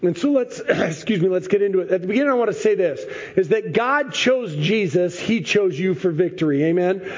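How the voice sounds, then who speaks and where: High-pitched male voice with lively intonation at a fairly quick pace, amid noticeable background noise. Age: 40s. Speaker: pastor. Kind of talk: sermon.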